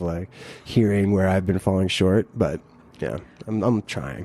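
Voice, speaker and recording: An unremarkable speaking voice with an American accent and fairly even intonation. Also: man. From US, Pittsburgh Pennsylvania area. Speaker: podcast host, guest on another podcast. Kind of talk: casual conversation.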